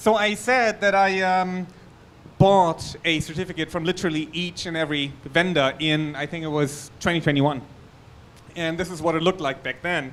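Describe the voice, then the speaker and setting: A man's high-pitched, moderately paced speech with a German accent and ordinary pitch variation. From Germany. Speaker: security researcher. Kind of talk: conference talk.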